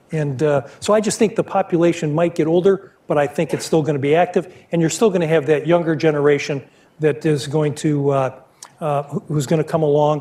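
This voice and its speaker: Talking at a fairly quick pace, a man has a fairly high pitch, a dark, mellow tone and fairly even intonation. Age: 60s. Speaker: business executive. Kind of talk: Q&A at a university talk. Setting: stage with audience. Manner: halting, many repeated words.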